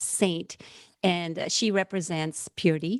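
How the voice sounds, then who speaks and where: A woman speaks at a moderate pace and a medium pitch with ordinary pitch variation, in a very clean recording with a silent background and a dry, close sound with no echo. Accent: Puerto Rican. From Puerto Rico. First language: Spanish. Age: 40s. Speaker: seminary student. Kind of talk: podcast interview, personal testimony.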